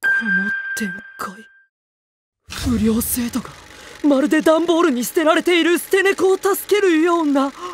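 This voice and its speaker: A man does a cartoonish character voice at an extremely high pitch, moving at a moderate pace. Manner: formal, stern.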